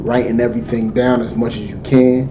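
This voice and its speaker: Over noticeable background noise and audible room echo, a man talks at a moderate pace with a medium-pitched voice. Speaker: religious teacher. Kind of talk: lecture. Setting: livestream.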